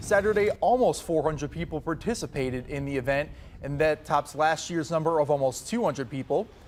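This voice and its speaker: Using an ordinary speaking voice, a man talks at a fairly quick pace, fairly high in pitch, with lively intonation. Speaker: news anchor. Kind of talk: local TV news anchor delivery.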